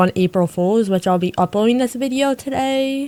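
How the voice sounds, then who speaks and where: Moving at a fairly quick pace, a woman talks in a plain, everyday voice on a very clean recording with a silent background. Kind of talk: casual gameplay commentary.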